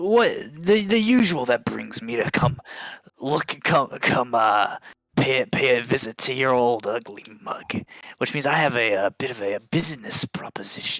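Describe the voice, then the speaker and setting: A man's raspy, put-on character voice at medium pitch, with lively intonation, a moderate pace, and dry, close sound with no echo. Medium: actual play. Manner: overly friendly, slangy.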